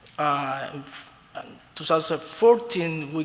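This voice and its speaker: With a Spanish accent and a fairly high pitch, a man speaks at a moderate pace over noticeable background noise. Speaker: beauty school owner. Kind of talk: formal testimony before a commission. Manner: halting, with many fillers.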